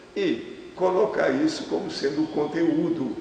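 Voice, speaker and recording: Amid noticeable background noise and audible room echo, a man speaks at a very slow pace. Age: 80s+. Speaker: scientist and author. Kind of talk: TV interview.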